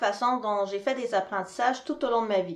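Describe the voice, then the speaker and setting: This voice has ordinary pitch variation and a moderate pace. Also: woman. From Quebec. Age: 40s. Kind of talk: presentation.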